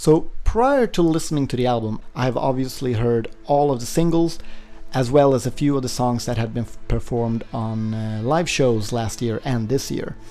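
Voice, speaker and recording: There is audible room echo and noticeable background noise as a man talks with ordinary pitch variation. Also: medium pitch for a man, moderate pace. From Sweden. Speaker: music reviewer, vlogger. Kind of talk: album review vlog. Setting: home apartment during typhoon.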